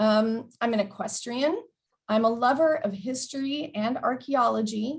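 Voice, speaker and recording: With an American accent, a woman speaks in a fairly high, somewhat breathy voice with lively intonation. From Texas border, Del Rio. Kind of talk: presentation.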